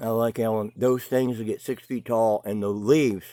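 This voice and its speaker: A man's fairly low, dark, mellow voice at a fairly slow pace, dry and close with no echo. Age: 60s. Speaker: boat builder and craftsman vlogger. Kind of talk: casual video tour vlog. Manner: halting, with many fillers and repeats.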